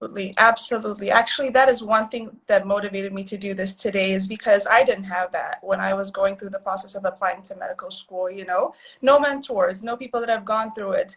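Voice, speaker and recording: A woman talks at a very fast pace in a medium pitch, with hardly any pauses and fairly even intonation. Her loudness swings widely, over noticeable background noise. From Addis Ababa, Ethiopia. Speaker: physician. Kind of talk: casual chat. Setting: live video stream.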